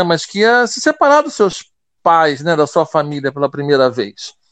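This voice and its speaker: In a dry, close sound with no echo, a high-pitched man talks at a moderate pace. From Rio de Janeiro, Brazil. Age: 40s. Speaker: school director and linguist. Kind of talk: interview. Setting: remote call via app from home.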